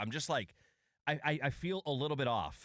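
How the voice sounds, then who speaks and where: The recording is very clean with a silent background. A man speaks with vocal fry. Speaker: sports radio host. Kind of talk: radio talk show.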